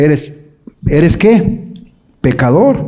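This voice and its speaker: A man's voice with audible room echo. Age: 60s. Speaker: evangelical theologian and speaker. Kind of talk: conference talk to parents. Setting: live audience at a conference.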